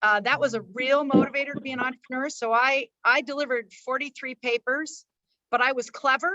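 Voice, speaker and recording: Her raised, projected voice is high-pitched with a bright, sharp tone, as a woman talks at a fairly quick pace with ordinary pitch variation on a dry, close recording with no echo. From Oregon, US, Latin neighborhoods. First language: Spanish. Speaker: entrepreneur and CEO. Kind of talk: panel discussion, personal story.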